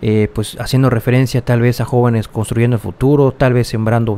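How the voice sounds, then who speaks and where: A man's dark, mellow tone at a medium pitch. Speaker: political news youtuber. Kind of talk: political commentary video.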